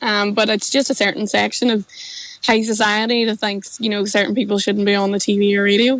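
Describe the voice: Speaking with a Northern Irish accent, a woman has a fairly bright tone and a medium pitch with little pitch movement at a fairly quick pace. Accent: Derry, Northern Irish.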